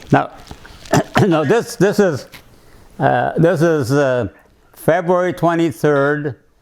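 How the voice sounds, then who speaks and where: Over noticeable background noise, the speaker talks at a very slow pace with ordinary pitch variation. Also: man. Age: 80s+. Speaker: navy submarine veteran, business owner. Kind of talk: personal life memoir, reminiscing to camera.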